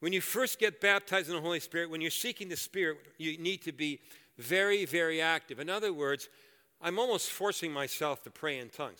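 Heard on a very clean recording with a silent background, a man with a bright, sharp tone and high pitch speaks at a fairly quick pace with ordinary pitch variation. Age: 60s. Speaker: guest preacher. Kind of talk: sermon. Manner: animated.

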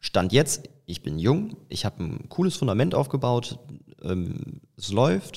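Using vocal fry, a man at medium pitch speaks at a very slow pace with very wide pitch swings. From Eifel, western Germany. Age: 20s. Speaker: business coach and facial expression trainer. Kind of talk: casual interview. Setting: outdoors on location. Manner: frequent fillers (ähm).

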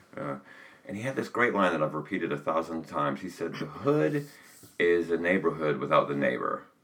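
A man with an American accent, very deep, low pitch, and lively intonation, over noticeable background noise. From US South. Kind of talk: casual conversation.

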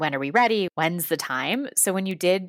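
In a very clean recording with a silent background and a dry, close sound with no echo, a woman talks at a moderate pace with lively intonation. She has an ordinary speaking voice, fairly low in pitch. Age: 30s. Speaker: podcast co-host. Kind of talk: interview.

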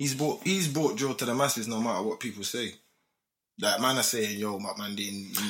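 A man of medium pitch with a London accent. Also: ordinary pitch variation, moderate pace. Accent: London multicultural English. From UK. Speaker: podcast guest, host's friend. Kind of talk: casual chat.

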